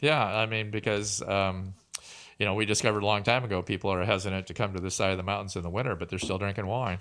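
A very fast-talking man in a Pacific Northwest accent, fairly low in pitch, with fairly even intonation. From Tri-Cities, Washington. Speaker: winemaker and vineyard owner. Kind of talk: interview.

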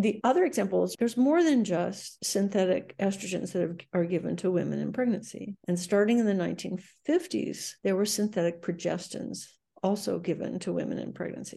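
Speaking at a moderate pace, a woman with a medium pitch shows vocal fry and ordinary pitch variation. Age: 70s. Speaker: epidemiologist, research director. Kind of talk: interview.

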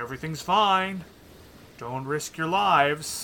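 This is a man speaking. His pace is moderate. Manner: concerned, cautious, then horrified.

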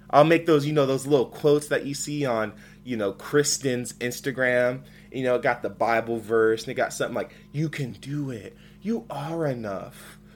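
Over music in the background, the speaker talks at a moderate pace in an animated tone, with ordinary pitch variation. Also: man, medium pitch for a man. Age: 20s. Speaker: podcast host. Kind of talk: solo casual podcast monologue.

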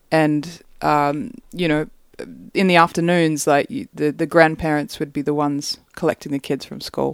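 With an Australian accent, a woman speaks in a very deep, low voice at a moderate pace, showing ordinary pitch variation in a dry, close sound with no echo. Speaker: singer-songwriter. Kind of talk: casual chat.

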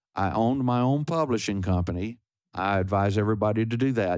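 Speaking with a Texan accent at a fairly quick pace, a man uses a fairly low pitch with ordinary pitch variation on a very clean recording with a silent background. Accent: Texan American. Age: 70s. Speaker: singer-songwriter and guitarist. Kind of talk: interview. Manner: halting.

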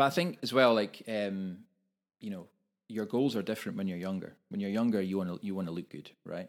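Recorded very cleanly over a silent background, a man with a Scottish accent speaks with a fairly low pitch and ordinary pitch variation. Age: 40s. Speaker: personal trainer and podcast co-host. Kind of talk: casual chat. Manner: halting, repeats words.

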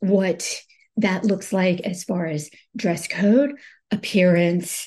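The voice moves at a very slow pace, somewhat breathy. Pitch variation is ordinary. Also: woman. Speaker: business owner giving advice. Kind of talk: podcast monologue on team building. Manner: halting.

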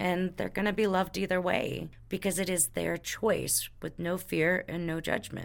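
A woman with an American accent speaks at a moderate pace in a fairly low voice with vocal fry. Her intonation is monotone and flat, and she hardly pauses at all. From Texas. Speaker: podcast host, spiritual healer. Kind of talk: casual chat.

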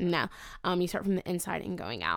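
On a very clean recording with a silent background, a woman of medium pitch talks at a fairly quick pace with vocal fry. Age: 20s. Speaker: student affairs professional. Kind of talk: casual interview chat.

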